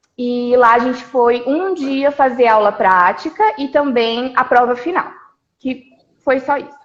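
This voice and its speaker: Pitched high, a woman's voice shows ordinary pitch variation. She speaks at a fairly slow pace. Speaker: physiotherapist. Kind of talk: live stream interview.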